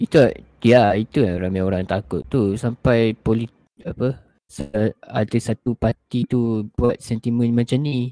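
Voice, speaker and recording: An unremarkable speaking voice from a man at a medium pitch, fairly slow, with ordinary pitch variation and a dry, close sound with no echo. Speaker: podcast co-host. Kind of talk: casual chat.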